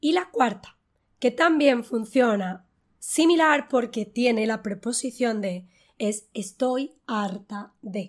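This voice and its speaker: Her fairly high voice shows ordinary pitch variation as this woman speaks very slowly. The recording is very clean, with a silent background. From Spain. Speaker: online Spanish teacher. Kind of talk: language lesson. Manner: clear, didactic.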